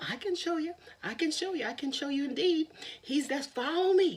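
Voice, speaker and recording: This put-on character voice is high and squeaky. It moves at a moderate pace. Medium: read story. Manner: casual, wheedling.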